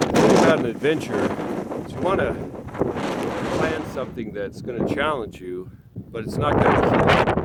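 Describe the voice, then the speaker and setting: A man at a moderate pace with lively intonation, big swings in loudness and long, frequent pauses, amid audible room echo and noticeable background noise. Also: medium pitch for a man. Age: 50s. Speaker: wilderness adventurer. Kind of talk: audition video. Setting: outdoors. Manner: halting.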